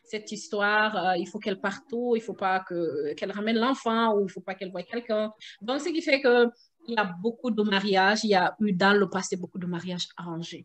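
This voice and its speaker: A woman's medium-pitched voice at a fairly quick pace, with ordinary pitch variation and hardly any pauses. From Guinea. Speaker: mother. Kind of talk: interview answer. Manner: hesitant, many fillers.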